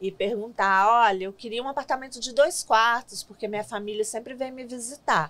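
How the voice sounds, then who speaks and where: A woman with an ordinary speaking voice talks at a moderate pace in a fairly high pitch, with hardly any pauses and big swings in loudness. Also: ordinary pitch variation. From Brazil, Minas Gerais (Belo Horizonte); Minas Gerais, Brazil. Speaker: city immigrant-services worker, former interpreter; guest. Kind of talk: interview. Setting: studio. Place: studio. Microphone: studio mic.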